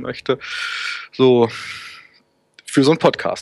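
The sound is dry and close, with no echo. A man speaks at a moderate pace with fairly even intonation. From northern Germany, Hannover. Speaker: web developer and volunteer support forum moderator. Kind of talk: casual interview.

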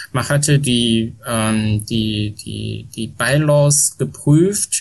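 The man's medium-pitched voice is somewhat breathy, with ordinary pitch variation. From China, Shanghai. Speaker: Wikipedia volunteer, former foundation board chair. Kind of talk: interview. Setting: home with aircraft noise in background. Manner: halting, many fillers.

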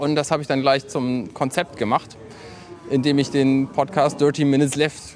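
Noticeable background noise accompanies this recording. A man with a medium-pitched voice speaks at a moderate pace. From northern Germany, Buxtehude. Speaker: podcaster. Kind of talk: casual chat.

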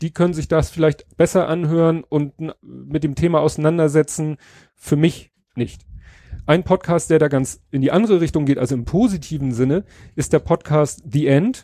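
On a very clean recording with a silent background and a dry, close sound with no echo, a man with a dark, mellow tone and fairly high pitch speaks at a moderate pace with ordinary pitch variation. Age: 40s. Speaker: podcaster and bereaved father giving a talk. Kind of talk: conference talk. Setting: stage with audience. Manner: voice occasionally breaking.

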